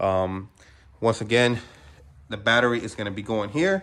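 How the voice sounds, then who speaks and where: Using lively intonation, a man at a medium pitch speaks with a bright, sharp tone. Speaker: car parts seller and video maker. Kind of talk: tutorial. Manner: fast; casual, with many fillers.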